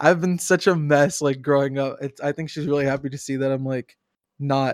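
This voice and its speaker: A man with a normal speaking voice and a fairly high pitch talks at a moderate pace with fairly even intonation. The sound is dry and close with no echo, on a very clean recording with a silent background. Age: 20s. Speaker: game streamer and community manager. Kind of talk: casual chat. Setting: live stream.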